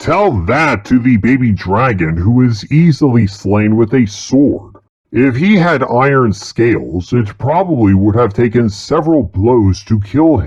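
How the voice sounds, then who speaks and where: In a put-on character voice at a medium pitch, a man talks with hardly any pauses. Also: moderate pace. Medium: comedy sketch. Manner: formal, measured, articulate.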